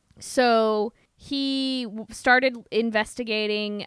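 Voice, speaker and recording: A woman's fairly high voice with ordinary pitch variation and a Midwestern US accent, on a very clean recording with a silent background. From US Midwest. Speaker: podcast host. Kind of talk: casual chat.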